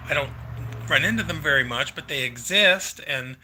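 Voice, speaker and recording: The voice has a bright, sharp tone and an American accent, moving at a moderate pace. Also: man. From US, Pennsylvania. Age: 60s. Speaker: live streamer. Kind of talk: casual live stream Q&A. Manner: halting, many fillers.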